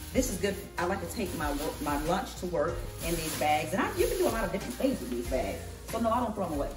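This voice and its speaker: A woman talks at a very fast pace. Clear music plays in the background. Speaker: home vlogger. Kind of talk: casual vlog chat. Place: kitchen. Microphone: camera far.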